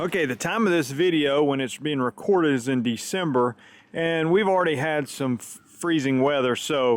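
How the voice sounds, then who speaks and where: This man talks at a moderate pace in a Southern US accent, his pitch fairly high with ordinary variation. His loudness swings widely. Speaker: lawn care youtuber. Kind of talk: tutorial. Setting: outdoors. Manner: casual, conversational.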